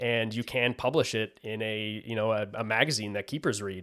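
A man uses a normal speaking voice at a moderate pace with fairly even intonation. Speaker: podcast host. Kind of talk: casual interview chat.

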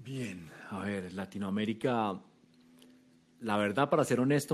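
In a very clean recording with a silent background, a man speaks at a fairly slow pace with ordinary pitch variation. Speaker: startup founder and CEO. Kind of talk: interview.

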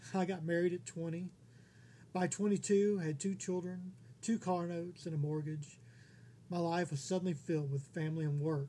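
Speaking with an American accent, a man with a high-pitched voice and a dark, mellow tone keeps a moderate pace and fairly even intonation. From Texas. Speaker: independent author, podcast host. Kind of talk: scripted narration.

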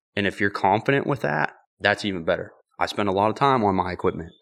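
An ordinary speaking voice with an American accent, ordinary pitch variation and a fairly quick pace, on a very clean recording with a silent background. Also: man. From western Pennsylvania (Ford City area). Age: 20s. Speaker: bowhunter and outdoor content creator. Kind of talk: casual chat. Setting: host's garage.

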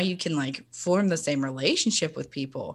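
A woman's fairly low-pitched voice at a moderate pace, ordinary pitch variation, in a very clean recording with a silent background. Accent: Southern US. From Tennessee (Chattanooga). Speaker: counselor. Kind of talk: casual chat.

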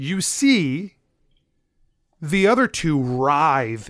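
A man's fairly high, intense voice with lively intonation, in a very clean recording with a silent background. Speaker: dungeon master, podcast host. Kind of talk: dramatic narration as dungeon master. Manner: vivid, intense, descriptive, building tension.

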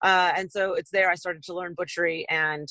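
A bright, sharp tone with an American accent at a fairly quick pace. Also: woman, dry, close sound with no echo. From US West Coast. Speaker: butcher and chef. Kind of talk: casual interview.

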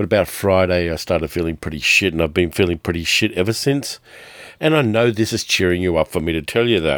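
Very fast speech in an Australian accent on a very clean recording with a silent background. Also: man, very deep, low pitch for a man, ordinary pitch variation. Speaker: podcast host, film and TV reviewer. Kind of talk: solo review monologue.

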